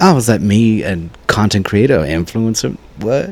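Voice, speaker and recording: The speaker has an American accent and a moderate pace. The pitch swings very widely. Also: man. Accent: Louisiana-ish, Cajun-tinged Texas. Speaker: content creator. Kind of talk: interview answer. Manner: high energy, lively.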